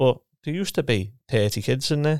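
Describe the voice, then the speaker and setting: Heard in a Liverpool accent, the voice comes through a very clean recording with a silent background and a dry, close sound with no echo. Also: man. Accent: Scouse (Liverpool). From Liverpool, England. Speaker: retired professional footballer and coach. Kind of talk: casual interview.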